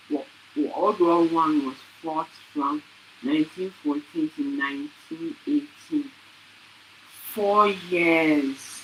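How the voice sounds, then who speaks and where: Speaking very slowly with long, frequent pauses, a woman with a fairly low pitch uses lively intonation over noticeable background noise. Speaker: student presenter. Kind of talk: reading aloud. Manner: halting; soft-spoken. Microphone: too quiet at first.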